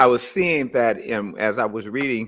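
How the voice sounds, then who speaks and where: In a plain, everyday voice with an American accent, the speaker talks at a fairly slow pace. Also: man, very clean recording, silent background. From US, East Oakland. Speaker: radio host. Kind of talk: interview. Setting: radio interview.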